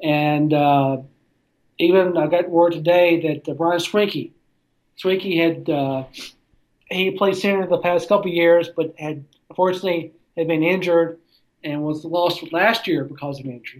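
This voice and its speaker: Long, frequent pauses in a Southern accent, with fairly even intonation at a moderate pace. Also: man, high pitch for a man. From US South, Tennessee (near Nashville). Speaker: sports writer. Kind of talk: casual chat.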